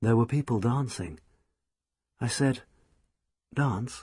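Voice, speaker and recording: A man with a somewhat breathy, medium-pitched voice speaks against a quiet background. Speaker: audiobook narrator. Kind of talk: audiobook novel reading. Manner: sensitive, expressive.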